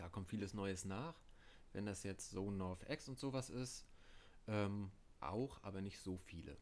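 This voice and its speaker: Speaking at a fairly slow pace with long, frequent pauses, a man uses a fairly low pitch and ordinary pitch variation. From Mecklenburg, Parchim. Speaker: band tour crew and merch worker. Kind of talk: casual chat. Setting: at home.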